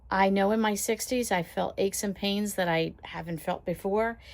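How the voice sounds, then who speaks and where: A normal speaking voice keeps a moderate pace and fairly even intonation in a very clean recording with a silent background. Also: woman. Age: 60s. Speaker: lifestyle vlogger and caregiver. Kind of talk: casual chat. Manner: conversational, with filler words.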